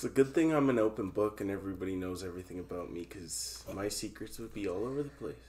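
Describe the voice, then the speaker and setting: With a Canadian accent, a man speaks very fast with hardly any pauses, his fairly low, dark, mellow, somewhat breathy voice making very wide pitch swings and big jumps in loudness. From Canada. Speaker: podcast host. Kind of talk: casual chat. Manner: animated. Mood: joking, self-deprecating. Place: home room. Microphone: camera far.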